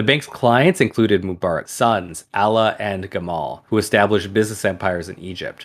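A man's normal speaking voice, fairly low in pitch and at a moderate pace, on a very clean recording with a silent background. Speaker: podcast host. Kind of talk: podcast storytelling, reading article aloud.

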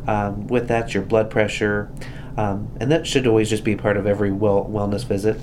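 Moderate-paced speech from a man with a fairly low pitch, noticeable background noise behind it. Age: 40s. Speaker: hospital volunteer coordinator. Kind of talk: casual health chat.

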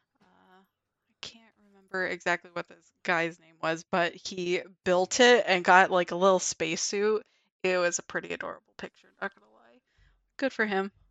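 A woman talks in a plain, everyday voice at medium pitch and a moderate pace, with fairly even intonation and big swings in loudness. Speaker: podcast host. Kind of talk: casual chat.

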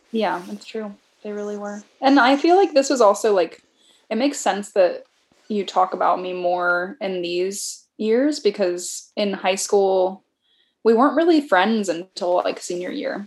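A woman with an unremarkable speaking voice talks fairly slowly at a medium pitch, with lively intonation and big swings in loudness. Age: 30s. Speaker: podcast guest, friend of host. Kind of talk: casual chat.

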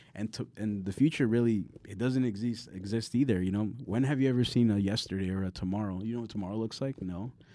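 Talking at a very fast pace with hardly any pauses, a man with an American accent has a fairly low pitch, fairly even intonation and a dark, mellow tone. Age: 30s. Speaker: poet and artist. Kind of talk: casual chat.

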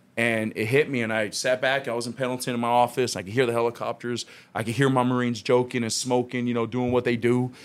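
Hardly pausing, a man with an American accent and medium pitch speaks at a very fast pace on a very clean recording with a silent background. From Long Beach, California. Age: 30s. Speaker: union organizer and Marine veteran. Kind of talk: casual chat. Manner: animated.

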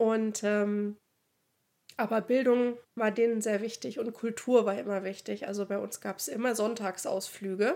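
Fairly high in pitch, a woman speaks at a fairly slow pace with fairly even intonation and a dark, mellow tone. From Thuringia, eastern Germany (Oberhof). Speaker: podcast co-host. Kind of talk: casual chat.

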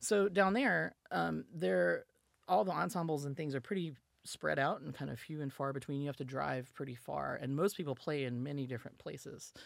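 A woman speaks at a moderate pace with a Southern US accent and a very deep, low pitch. Her pitch swings very widely, and vocal fry comes through. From US South. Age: 40s. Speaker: musician and data scientist. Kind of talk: casual interview.

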